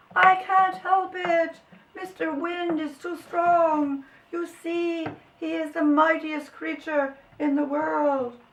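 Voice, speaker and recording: Very slow, high-pitched speech in an exaggerated put-on character voice. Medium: read story.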